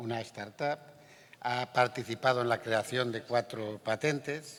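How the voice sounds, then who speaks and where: A man of medium pitch talks at a very slow pace with fairly even intonation. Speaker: panel moderator. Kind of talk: moderating a panel.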